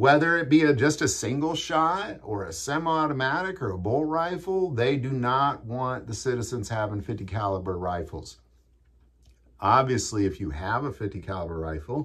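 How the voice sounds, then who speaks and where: A man talks at a moderate pace with very wide swings in pitch against a quiet background. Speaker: gun channel host. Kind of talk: commentary. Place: home room.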